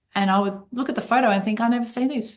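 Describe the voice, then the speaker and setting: A woman with an Australian accent, somewhat breathy, with ordinary pitch variation. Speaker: accountant and financial advisor. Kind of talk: podcast interview.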